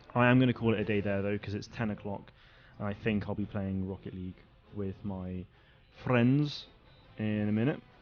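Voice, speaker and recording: Music plays in the background while a man speaks at a moderate pace. His pitch is fairly low and his intonation fairly even. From England. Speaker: gaming streamer. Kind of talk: live stream commentary. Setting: home live stream at night. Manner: casual, filler-heavy.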